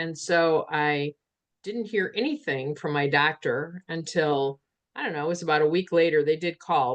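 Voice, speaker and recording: Against a quiet background, a woman speaks at a moderate pace. Her pitch is very deep and low. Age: 60s. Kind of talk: casual chat.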